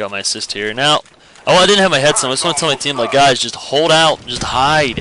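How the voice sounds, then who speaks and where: The speaker talks at a very fast pace with lively intonation. Noticeable background noise can be heard. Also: man. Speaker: gaming commentator. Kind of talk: gameplay commentary. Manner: casual, filler-heavy; stuttering.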